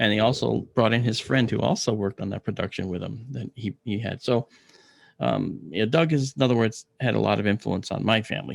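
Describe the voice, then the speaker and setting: A man with an American accent, fairly low in pitch with vocal fry, ordinary pitch variation, a fairly quick pace, and a dry, close sound with no echo. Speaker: astronomer. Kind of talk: interview.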